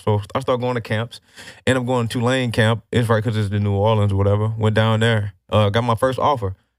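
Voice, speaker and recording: In a very clean recording with a silent background, a man uses an ordinary speaking voice at a fairly low pitch. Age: 20s. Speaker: retired NFL player. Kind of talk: casual interview chat. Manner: casual, conversational, slangy.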